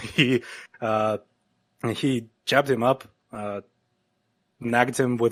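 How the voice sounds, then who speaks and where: Speaking at a medium pitch, a man talks with a non-native accent. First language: not English. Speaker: MMA analyst. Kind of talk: casual podcast chat. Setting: online call. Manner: halting, many filler words.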